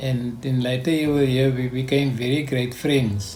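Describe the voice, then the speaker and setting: Over music in the background, a man speaks at a fairly slow pace with a medium pitch and ordinary pitch variation, and the room echo is audible. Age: 70s. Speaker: foster parent. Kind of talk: interview. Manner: halting.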